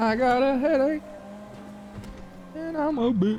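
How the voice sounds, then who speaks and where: Noticeable background noise runs beneath a man who speaks very slowly. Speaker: streamer. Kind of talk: casual chat.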